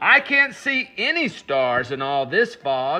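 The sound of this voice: A man's put-on character voice, fairly high in pitch, bright and sharp in tone, with big pitch swings and a slow pace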